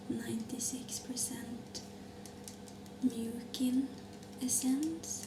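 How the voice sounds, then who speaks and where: Against noticeable background noise, a woman talks very slowly. She is soft-spoken. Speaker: ASMR creator. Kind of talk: ASMR skincare routine chat.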